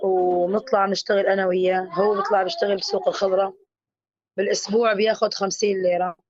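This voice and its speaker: Her intonation is monotone and flat. This woman speaks at a medium pitch. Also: moderate pace. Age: 30s. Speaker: displaced mother sharing her story. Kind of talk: testimony. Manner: halting.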